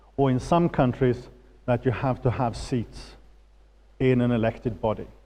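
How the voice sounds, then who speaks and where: A man with a Swedish accent speaks at medium pitch and a moderate pace. His tone is dark and mellow, with fairly even intonation. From Sweden. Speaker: political finance expert. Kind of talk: lecture. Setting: auditorium with audience.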